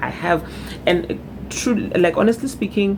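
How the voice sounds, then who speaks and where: Noticeable background noise sits behind a woman's voice. She speaks at a medium pitch with lively intonation. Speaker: vlogger. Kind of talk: personal testimony vlog. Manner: voice cracking with emotion.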